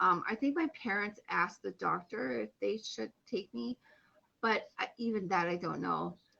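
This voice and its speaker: A woman with vocal fry speaks at medium pitch and a fairly slow pace in a bright, sharp tone. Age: 30s. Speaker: stroke survivor and online personal trainer. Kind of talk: casual interview chat.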